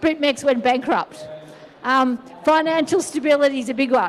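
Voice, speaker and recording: A woman with an Australian accent speaks at a moderate pace in a high pitch, her intonation lively over noticeable background noise. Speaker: conference speaker, regulatory adviser. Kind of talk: conference talk.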